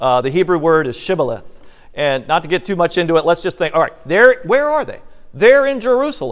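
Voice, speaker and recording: A high-pitched male voice with very wide pitch swings. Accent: slight Southern. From Virginia, US South. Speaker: bible teacher. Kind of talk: bible study teaching. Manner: conversational.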